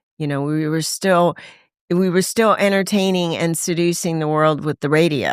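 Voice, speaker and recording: The speaker has an ordinary speaking voice in an American accent, with fairly even intonation at a moderate pace. The recording is very clean, with a silent background. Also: woman, fairly low pitch for a woman. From Los Angeles, US West Coast. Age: 60s. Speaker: voice actor and recovering addict. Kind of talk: testimony.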